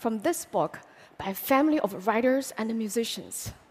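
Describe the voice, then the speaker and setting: With a Chinese accent, a woman speaks at a moderate pace, her pitch swinging very widely. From China. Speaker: public speaker. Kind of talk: public talk.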